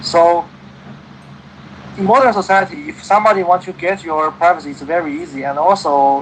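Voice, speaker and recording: Amid noticeable background noise, a man with a Chinese accent talks at a fairly quick pace and high pitch, with ordinary pitch variation, big swings in loudness, and long, frequent pauses. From China. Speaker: English conversation partner. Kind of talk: casual conversation. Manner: halting, many fillers.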